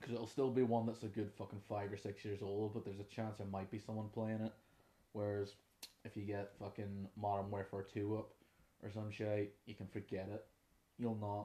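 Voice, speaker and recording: A man with a Northern Irish accent speaks at a moderate pace in a fairly low pitch, his tone dark and mellow and his intonation flat and monotone. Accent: Derry Northern Irish. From Northern Ireland, Derry. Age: 20s. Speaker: podcast host, musician and trainee music teacher. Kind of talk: casual unscripted monologue. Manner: relaxed, rambling.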